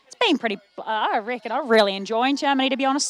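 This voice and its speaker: A woman talks with an Australian accent. Her pace is very fast, with ordinary pitch variation. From Australia, Melbourne. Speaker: sports commentator. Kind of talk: live commentary. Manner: animated.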